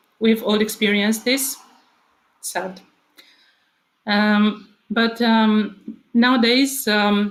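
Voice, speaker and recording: With a Romanian accent, the speaker goes at a very slow pace with long, frequent pauses. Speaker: author and speaker at a book convention. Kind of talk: prepared speech. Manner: hesitant, with filler words.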